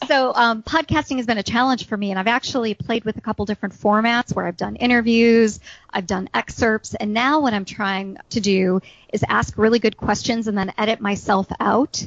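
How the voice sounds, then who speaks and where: A woman speaks with a fairly high pitch. Her pace is moderate and her pitch variation ordinary. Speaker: HR speaker and podcast host. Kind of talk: casual chat. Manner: chatty.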